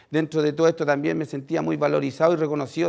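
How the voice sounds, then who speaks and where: A man talks over a quiet background. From Chile. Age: 30s. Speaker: former prisoner turned social worker; speaker. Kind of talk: testimony. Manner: halting, many fillers. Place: stage. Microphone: headset.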